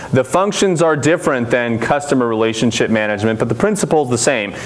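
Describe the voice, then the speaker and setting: Amid noticeable background noise and audible room echo, a man speaks very fast with ordinary pitch variation. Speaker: CRM consultant, conference speaker. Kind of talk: conference talk. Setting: conference room with audience. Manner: loud.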